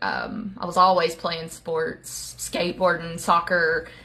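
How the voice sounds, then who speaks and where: With an Appalachian accent, the speaker goes at a fairly slow pace over noticeable background noise. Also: woman. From Appalachia, US. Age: 30s. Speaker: social media creator sharing life story. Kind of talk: personal testimony. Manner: casual, with many filler words.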